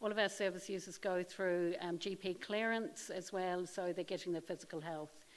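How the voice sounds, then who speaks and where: Using a New Zealand accent, a woman keeps a medium pitch, fairly even intonation and a moderate pace with hardly any pauses. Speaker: occupational therapist manager. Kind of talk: conference presentation. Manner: hesitant, many ums.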